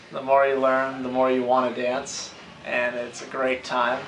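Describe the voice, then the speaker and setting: Over music in the background and audible room echo, a man speaks at a medium pitch and a fairly slow pace with monotone, flat intonation. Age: 20s. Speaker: dancer. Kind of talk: interview.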